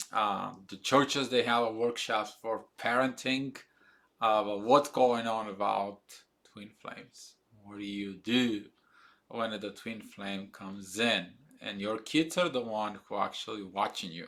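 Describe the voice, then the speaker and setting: With a non-native accent and a bright, sharp tone, a man speaks at a fairly slow pace in a fairly low pitch, his pitch varying in an ordinary way while his loudness swings widely. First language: not English. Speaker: spiritual video blogger. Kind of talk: casual monologue. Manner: halting, many fillers.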